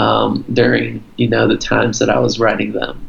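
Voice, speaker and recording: A man with an American accent talks while noticeable noise carries on behind him. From Florida, US, Brazilian family. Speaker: singer-songwriter. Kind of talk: casual interview. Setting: video call.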